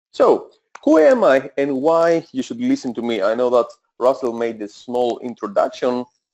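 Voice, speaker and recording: A man with a Greek accent at a moderate pace. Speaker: e-commerce coach. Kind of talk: webinar presentation. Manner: hesitant, many filler sounds.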